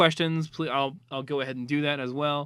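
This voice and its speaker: This man speaks at a fairly quick pace with fairly even intonation. His pitch is fairly high. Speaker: online community moderator. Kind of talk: casual data presentation. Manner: mumbling; hesitant, many fillers.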